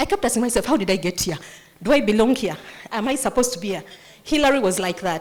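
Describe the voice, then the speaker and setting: The speaker has a Ugandan accent. Noticeable background noise runs under the voice. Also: woman. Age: 50s. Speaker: nonprofit founder. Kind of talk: motivational speech. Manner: animated.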